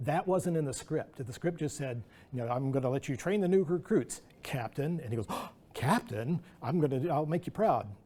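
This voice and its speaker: This man's voice sits fairly high, with a dark, mellow tone and a somewhat breathy edge. His intonation is lively and his pace fairly quick. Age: 60s. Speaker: animator and artist. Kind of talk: artist talk Q&A. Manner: halting.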